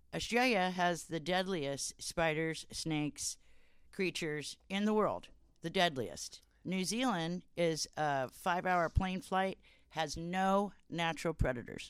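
With an American accent, a woman speaks fairly slowly in an unremarkable speaking voice, her pitch fairly low with ordinary pitch variation. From California, Santa Barbara and Ojai. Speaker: canvasser in recovery from addiction. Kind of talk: casual interview, personal testimony.

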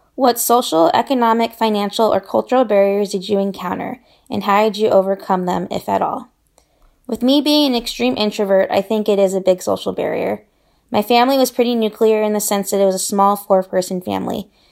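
An unremarkable speaking voice moves at a fairly quick pace with ordinary pitch variation. The recording is very clean, with a silent background. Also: woman, medium pitch for a woman. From Southern California, but moved around a lot. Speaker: international development professional. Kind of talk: personal storytelling interview.

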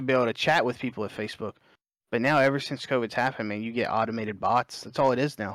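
In a very clean recording with a silent background, a man with a Southern US accent talks at a very fast pace and a medium pitch. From Alabama, US South. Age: 20s. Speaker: competitive gamer and streamer. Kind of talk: casual chat.

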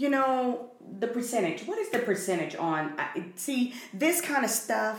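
A woman speaks at a fairly slow pace in a fairly high pitch. Noticeable background noise runs under her voice. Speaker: podcast co-host. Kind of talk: casual chat.

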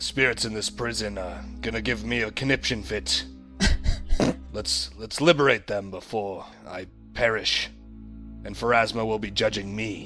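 Someone does a put-on character voice, leaving long, frequent pauses, while clear music plays in the background. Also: man, fairly low pitch for a man, moderate pace. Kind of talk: formal, slightly archaic speech. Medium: actual play. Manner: fervent, commanding when praying.

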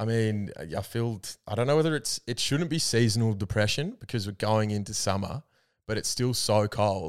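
The speech comes at a moderate pace with ordinary pitch variation on a very clean recording with a silent background. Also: man, fairly low pitch for a man. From Albury, regional Australia. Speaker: podcast co-host. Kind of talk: casual chat.

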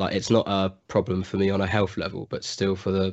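With an English accent, a man speaks at a very deep, low pitch in a monotone, flat delivery. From England. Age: young. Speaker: college student. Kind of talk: interview.

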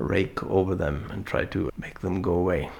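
A man speaks with an Icelandic accent. His voice carries vocal fry. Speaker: artist. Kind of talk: interview. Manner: halting.

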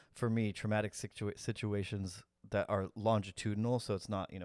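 Recorded very cleanly against a silent background, a man speaks in a fairly low voice with fairly even intonation, the sound dry and close with no echo. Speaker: podcast co-host. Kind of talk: casual chat. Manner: fast.

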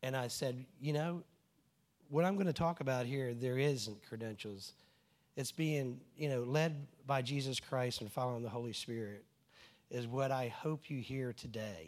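This man speaks with a Southern US accent at a medium pitch. The recording is very clean with a silent background, and his pitch varies in an ordinary way. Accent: Southern US drawl. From New Jersey, US. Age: 60s. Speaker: church speaker, engineer. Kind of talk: testimony. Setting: church gathering with audience.

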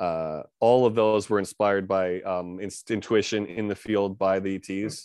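A man's fairly low voice with a New York accent, fairly even intonation, moderate pace and hardly any pauses, over a quiet background. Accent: New York American English. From US, New York area. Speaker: founder of an extraterrestrial contact organization. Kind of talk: interview conversation. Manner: halting, many fillers.

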